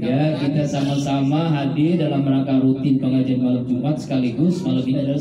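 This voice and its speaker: Speech at a fairly quick pace comes with audible room echo and noticeable background noise. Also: man. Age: 50s. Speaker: preacher. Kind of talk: sermon. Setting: religious gathering at a home with congregation. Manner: conversational, engages audience with questions.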